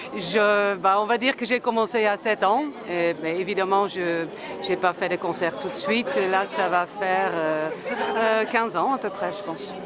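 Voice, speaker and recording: With a Dutch accent, the speaker goes at a fairly slow pace with ordinary pitch variation while crowd noise sounds in the background. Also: woman, medium pitch for a woman. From Netherlands. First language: Dutch (speaking French). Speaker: street musician. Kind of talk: interview.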